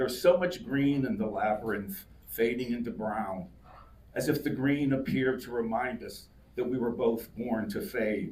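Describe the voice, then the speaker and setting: A man speaks at a moderate pace with a medium pitch and ordinary pitch variation. Audible room echo surrounds his voice. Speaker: poet. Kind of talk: casual remarks to audience; poetry reading. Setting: live reading with audience. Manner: loud.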